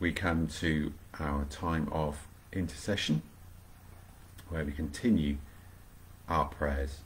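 A man's very deep, low, somewhat breathy voice at a very slow pace, with fairly even intonation, long, frequent pauses and light background noise. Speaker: vicar leading online prayer. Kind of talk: fervent prayer, live-streamed devotional. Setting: home, livestream video. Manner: earnest, warm, devout. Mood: calm, reverent. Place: home room. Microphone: webcam.

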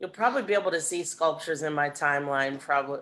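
Over light background noise, a woman speaks at a very deep, low pitch. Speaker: guest. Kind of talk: casual talk on an online gathering. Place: home room. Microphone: video call.

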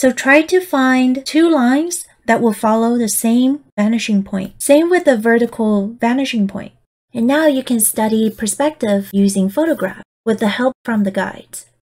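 Barely pausing, a woman talks at a moderate pace in a playful, upbeat tone, her high voice full of lively intonation. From Taiwan. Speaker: digital artist and tutorial host. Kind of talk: software tutorial.

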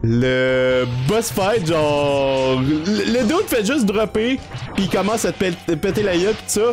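Clear music plays in the background as a man speaks at a very slow pace. His pitch swings very widely. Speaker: gaming streamer. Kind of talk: casual let's play commentary. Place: home room.

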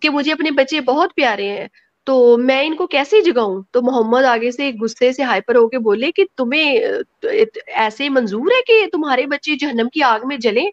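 A woman speaks at a high pitch, her voice making very wide pitch swings. The background is quiet. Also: dry sound with no echo. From Pakistan. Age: 30s. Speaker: guest. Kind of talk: personal testimony. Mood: emotional, critical personal account. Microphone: video call.

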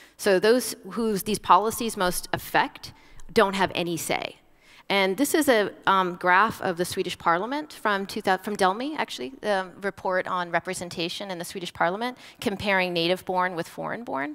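This woman talks at a moderate pace with an American accent. Her pitch varies in an ordinary way against a quiet background. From United States. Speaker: university lecturer. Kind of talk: academic panel discussion. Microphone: headset.

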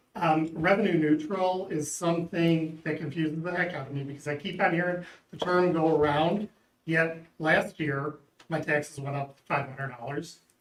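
Fairly even intonation and a moderate pace in an unremarkable speaking voice. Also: man, fairly high pitch for a man. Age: 60s. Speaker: local resident, public commenter. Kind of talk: public comment at board meeting. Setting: public board meeting hearing.

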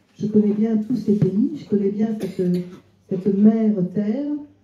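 A woman talks at a fairly slow pace with ordinary pitch variation. Audible room echo surrounds her voice. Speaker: cookbook author; guest. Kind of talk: literary talk before an audience. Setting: restaurant with live audience. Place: shop.

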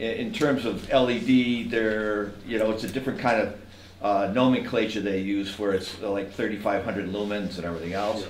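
With audible room echo and light background noise, a man speaks at a moderate pace, fairly low pitch and fairly even intonation. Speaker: landscape designer; presenter. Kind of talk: technical presentation. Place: hall. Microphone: camera far.

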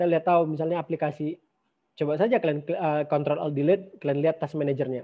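Very fast speech comes from a man with a fairly high pitch. His intonation is fairly even. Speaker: university lecturer. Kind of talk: lecture. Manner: casual with many fillers.

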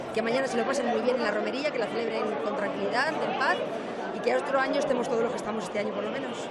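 A woman talks at a very fast pace, her voice dry with no echo, over loud background noise. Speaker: local official or event organiser. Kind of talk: impromptu speech to the locals at a festival. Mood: warm, upbeat festive wishes. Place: hall. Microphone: handheld.

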